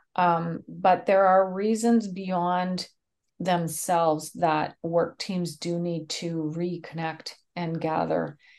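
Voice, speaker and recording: Against a quiet background, a woman with a Canadian accent speaks at a fairly low pitch and a very slow pace with monotone, flat intonation. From Canada. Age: 50s. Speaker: speaker, trainer and mediator. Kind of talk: interview.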